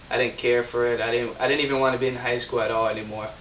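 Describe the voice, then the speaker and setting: A man with an American accent at a very fast pace, with noticeable background noise. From Chicago, US Midwest. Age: 20s. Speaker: young entrepreneur. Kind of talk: interview, personal story. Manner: halting.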